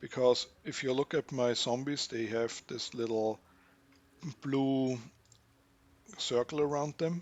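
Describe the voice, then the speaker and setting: A man with a non-native accent and a medium pitch, at a very slow pace with long, frequent pauses and fairly even intonation. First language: not English. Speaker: gaming youtuber. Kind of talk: gameplay tutorial commentary. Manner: halting, self-correcting.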